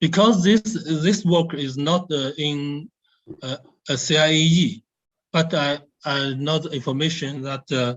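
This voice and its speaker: A man with a Chinese accent, fairly high in pitch, with ordinary pitch variation and a very slow pace. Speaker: nuclear research scientist. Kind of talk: Q&A answer at webinar. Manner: halting, many hesitations.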